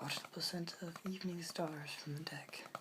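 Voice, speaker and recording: The voice is a soft-spoken whisper. It moves at a moderate pace. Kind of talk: ASMR poetry reading. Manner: soft-spoken, whispering.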